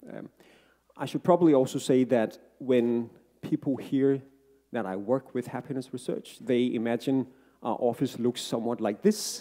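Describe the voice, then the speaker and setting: With a non-native accent, a man speaks at a moderate pace in a dark, mellow tone of medium pitch with ordinary pitch variation, leaving long, frequent pauses. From Denmark. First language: Danish. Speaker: happiness researcher and author. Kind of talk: book talk to live audience. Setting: stage with audience. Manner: hesitant, many fillers.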